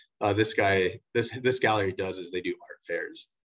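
Against a quiet background, a man with an American accent speaks at a moderate pace with a fairly low pitch. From Shanghai, China (American international school). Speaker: artist and former English teacher. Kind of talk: casual interview chat. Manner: halting, many fillers and repeats.

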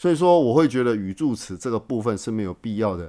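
Very wide pitch swings come from a man with a Taiwanese accent speaking at a fairly quick pace. The recording is very clean, with a silent background. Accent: Taiwanese Mandarin. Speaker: podcast host. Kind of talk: casual monologue. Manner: many filler words; halting, repetitive. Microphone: new microphone.

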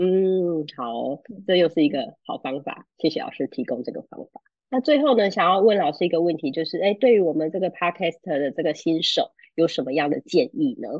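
At a fairly quick pace, a woman with a fairly low pitch makes very wide pitch swings and big swings in loudness. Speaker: podcast host. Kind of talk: interview.

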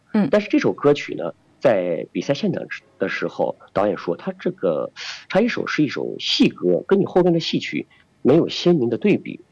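Against a quiet background, a man speaks at a moderate pace in a dry, close sound with no echo. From Xi'an, China. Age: young. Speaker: singer and opera performer. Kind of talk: interview.

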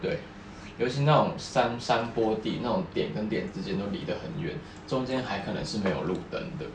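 A man with a Taiwanese accent talks at a moderate pace, with audible room echo and noticeable background noise. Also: medium pitch for a man, lively intonation. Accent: Taiwanese Mandarin. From Taiwan, rural area. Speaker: podcast co-host. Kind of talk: casual chat.

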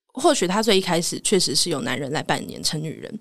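A normal speaking voice from a woman at medium pitch, fairly quick and with lively intonation, in a very clean recording with a silent background. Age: 20s. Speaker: voice actor, podcast guest. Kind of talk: casual interview.

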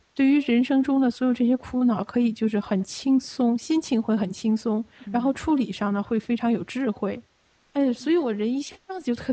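A woman with a fairly high voice talks at a moderate speed. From Beijing, China. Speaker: Falun Gong practitioner. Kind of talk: testimony. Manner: halting, with many fillers.

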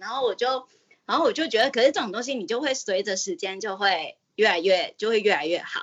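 A woman talks with a fairly high pitch. Her voice swings very widely up and down in pitch. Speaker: caller. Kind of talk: casual chat.

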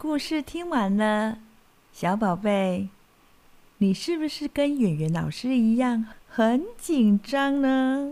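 A dark, mellow tone with lively intonation at a very slow pace. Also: woman, fairly high pitch for a woman. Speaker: children's storyteller. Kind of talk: talk to parents. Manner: animated.

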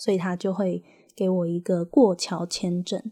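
A woman with a Taiwanese accent and a medium pitch speaks at a moderate pace in a somewhat breathy, dark, mellow voice, with a dry, close sound and no echo. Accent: Taiwanese Mandarin. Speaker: podcast host. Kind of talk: casual monologue.

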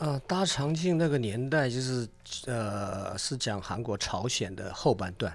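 Using a plain, everyday voice, a man speaks at a fairly slow pace and medium pitch with lively intonation. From South Korea (ethnic Chinese community). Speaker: chef and restaurant owner. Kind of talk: casual radio interview.

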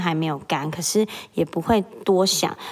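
A woman is speaking. Her pace is moderate. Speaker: podcast host, mother. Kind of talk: solo casual monologue. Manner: animated.

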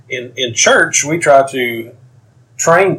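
A man talks in a somewhat breathy voice with a Tennessee accent. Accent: Southern American (Tennessee). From US South, East Tennessee (Knoxville). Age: 50s. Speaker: author and military veteran. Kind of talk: interview.

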